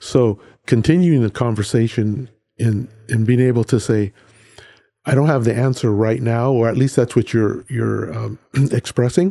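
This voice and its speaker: An American-accented man speaks at a moderate pace with medium pitch, ordinary pitch variation and a dark, mellow tone. Long, frequent pauses break up his speech in a very clean recording with a silent background. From central California, Hollister. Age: 60s. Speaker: accountant, podcast guest. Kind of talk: casual interview. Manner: halting.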